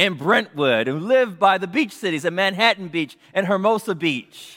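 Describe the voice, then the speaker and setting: A man with an American accent projects a raised voice at a high pitch, bright and sharp in tone. His intonation is lively and his pace moderate, on a very clean recording with a silent background. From US West Coast, South Central Los Angeles. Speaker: pastor. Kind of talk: sermon.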